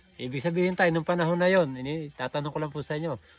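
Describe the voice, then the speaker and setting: A man with a plain, everyday voice speaks at a fairly quick pace. His pitch is fairly high and his intonation lively. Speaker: vlogger interviewer. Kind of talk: casual talk to camera.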